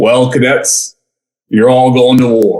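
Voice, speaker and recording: In a put-on character voice, a man sounds gravelly at a medium pitch. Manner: stern, hard.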